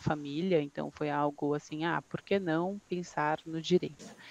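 A woman speaks slowly-ish, at a fairly slow pace, in a fairly low pitch with a dark, mellow tone and monotone, flat intonation, the sound dry and close with no echo against a quiet background. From São Bernardo do Campo, São Paulo, Brazil. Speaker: law professor and lawyer. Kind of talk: casual panel chat.

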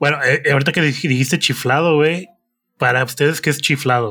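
The tone is bright and sharp, with ordinary pitch variation at a fairly quick pace. The recording is very clean with a silent background. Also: man. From Morelia, Michoacán, Mexico. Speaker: podcast co-host. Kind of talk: casual chat.

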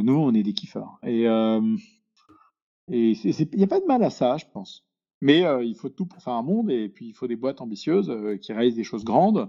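Lively intonation in a man's voice of medium pitch. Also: big swings in loudness. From Paris, France. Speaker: venture capital investor. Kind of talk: podcast interview. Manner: halting.

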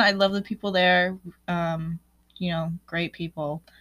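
At a fairly slow pace, a woman speaks in a fairly low, monotone voice with flat intonation, in a very clean recording with a silent background. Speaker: podcast host. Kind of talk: casual monologue.

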